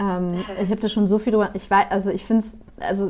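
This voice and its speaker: The tone is dark and mellow. Delivery comes at a fairly quick pace with monotone, flat intonation. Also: woman. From northern Germany (Bremen). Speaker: journalist. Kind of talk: interview.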